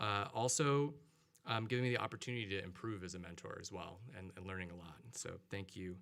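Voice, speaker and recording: With audible room echo, a man speaks very fast in a fairly low pitch, his loudness swinging widely and his pitch varying in an ordinary way. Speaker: professor receiving mentoring award. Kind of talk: acceptance speech. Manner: halting, many fillers.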